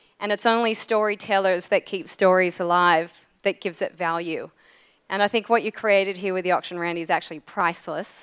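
A woman talks at a fairly quick pace with fairly even intonation. The background is quiet. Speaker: speaker thanking organizer. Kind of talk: thank-you speech. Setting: stage with audience. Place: hall. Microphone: podium.

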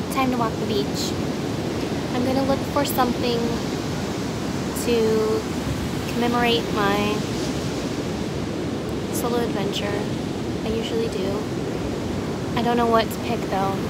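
A woman talks at a fairly slow pace, with long, frequent pauses. The sound is dry with no echo, but loud background noise is present. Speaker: vlogger. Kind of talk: casual vlog chat. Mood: relaxed, amused. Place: beach. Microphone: phone near.

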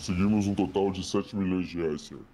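Putting on a character voice, a man speaks at a fairly quick pace with a very deep, low pitch. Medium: game stream. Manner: formal, deferential, terse.

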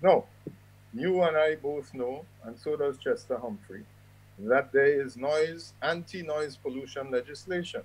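Using a plain, everyday voice, a man with a fairly high pitch talks at a fairly slow pace with ordinary pitch variation. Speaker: commentator. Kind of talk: commentary.

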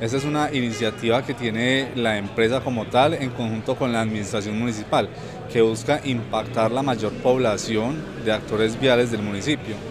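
A man at a moderate pace with fairly even intonation, a dry sound with no echo, and noticeable background noise. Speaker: community TV reporter. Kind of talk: news narration. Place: street. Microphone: handheld.

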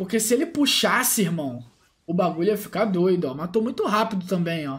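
This man talks at a fairly quick pace, his pitch swinging very widely. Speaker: gaming YouTuber. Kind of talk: gameplay commentary. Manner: animated.

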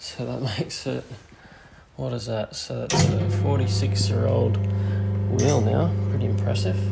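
Clear music plays in the background as the speaker moves at a fairly slow pace. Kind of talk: casual repair tutorial. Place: garage. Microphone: phone near.

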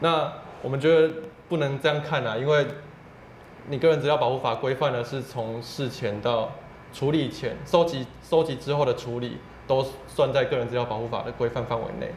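Long, frequent pauses mark a man's fairly even speech, with audible room echo and light background noise. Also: medium pitch for a man, moderate pace. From Taiwan. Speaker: civil rights advocate; guest. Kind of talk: interview. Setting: office. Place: studio. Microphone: lapel.

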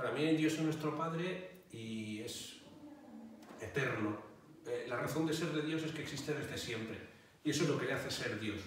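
A man's fairly high voice at a moderate pace, with ordinary pitch variation, long, frequent pauses, strong room echo, and light background noise. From Catalonia, Spain (Barcelona). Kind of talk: interview answers. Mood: calm, explanatory. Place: home room.

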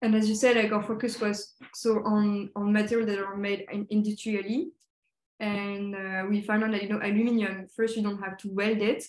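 A woman with a French accent speaks in a quiet background with audible room echo. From Paris area, France; France. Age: 20s. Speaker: designer. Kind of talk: presentation. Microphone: video call.

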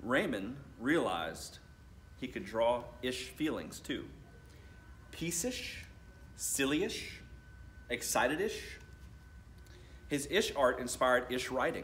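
A man at medium pitch, slow pace, big pitch swings and long, frequent pauses, fairly bright tone, audible room echo

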